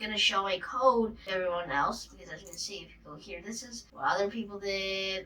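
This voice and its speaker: A woman with a medium pitch talks at a fairly quick pace with hardly any pauses and ordinary pitch variation. Her loudness swings widely over noticeable background noise. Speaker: coding tutorial youtuber. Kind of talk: tutorial. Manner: casual, filler-heavy.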